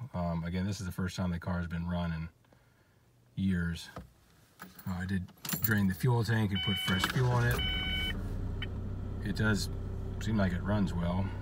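A man talks at a moderate pace with ordinary pitch variation and long, frequent pauses. The sound is dry with no echo, but loud background noise fills the clip. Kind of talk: casual walkaround commentary. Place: car. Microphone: phone near.

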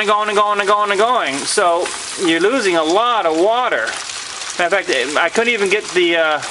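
Words arrive at a moderate pace amid noticeable background noise. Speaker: homeowner demonstrating his build. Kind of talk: tutorial. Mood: pleased, relaxed. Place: garden. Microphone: phone near.

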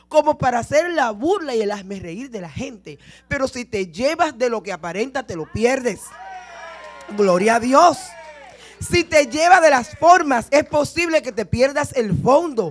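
A high-pitched woman at a fairly slow pace, with big swings in loudness and faint music in the background. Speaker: preacher. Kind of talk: sermon. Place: church. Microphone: handheld.

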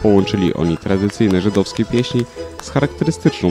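With music playing behind him, a man speaks fairly quickly in a fairly low voice. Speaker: narrator. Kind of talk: TV news report narration.

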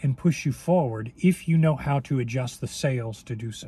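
Somewhat breathy with a dark, mellow tone, a man talks at a fairly slow pace with ordinary pitch variation in a dry recording with no echo. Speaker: weight loss coach. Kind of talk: casual vlog chat. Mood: reflective, encouraging. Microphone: phone near.

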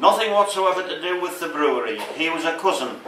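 Over light background noise and audible room echo, a man uses a raised, projected voice. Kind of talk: talk to an audience with slides. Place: bar. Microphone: camera far.

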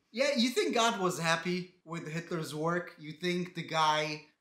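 With audible room echo over a quiet background, a man speaks at a fairly high pitch and a fairly slow pace. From Israel. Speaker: comedian. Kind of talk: comedic commentary reading comments. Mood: sarcastic, mocking. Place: home room.

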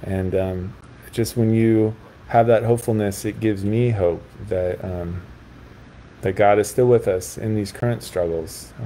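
This is a plain, everyday voice with fairly even intonation. It moves at a fairly slow pace. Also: man, fairly low pitch for a man. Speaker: priest. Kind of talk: interview. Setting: video call.

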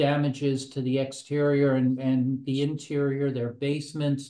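In a room with audible echo, a man speaks at a fairly slow pace with a dark, mellow tone and monotone, flat intonation. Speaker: presenter. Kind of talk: webinar presentation. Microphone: webcam.

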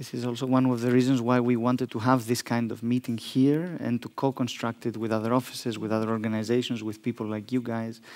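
This man talks at a fairly quick pace in a monotone, flat intonation. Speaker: foundation director and panel moderator; panel moderator. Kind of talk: panel moderation. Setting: stage with audience. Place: hall. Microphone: headset.

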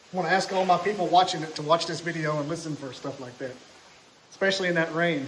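Over light background noise, a man with an Alabama accent talks at a very fast pace and fairly high pitch with fairly even intonation. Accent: Southern US (Alabama). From Scottsboro, Alabama. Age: 40s. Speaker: podcast host. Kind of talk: casual chat. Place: hall. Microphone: phone near.

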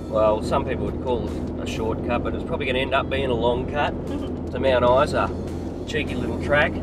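Music plays in the background as a man speaks. The sound is dry, with no echo. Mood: cheerful, joking. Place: car.

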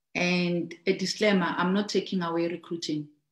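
There is audible room echo around a woman's fairly low voice, with a quiet background behind it. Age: 30s. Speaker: network marketing trainer. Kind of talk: business training talk. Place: home room. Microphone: video call.

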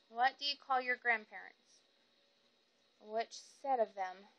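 A woman speaks with a Southern US accent. Her tone is bright and sharp. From Fayetteville, Arkansas. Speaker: vlogger. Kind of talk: accent tag, casual talk to camera. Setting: phone recording. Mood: relaxed, casual. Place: home room. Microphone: phone near.

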